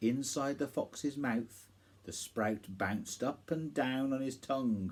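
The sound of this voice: An unforced reading voice moves through ordinary variation in pitch.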